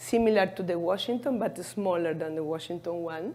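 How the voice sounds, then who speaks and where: A woman with an Argentine accent and lively intonation, heard with audible room echo. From Argentina. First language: Spanish. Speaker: cardiologist. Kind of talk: conference presentation. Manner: halting.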